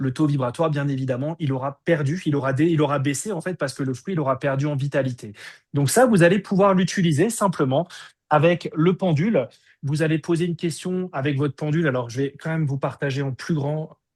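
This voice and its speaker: The voice is somewhat breathy, with ordinary pitch variation and a fairly quick pace. The background is quiet. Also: man, fairly high pitch for a man. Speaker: energy healing teacher. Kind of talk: online workshop.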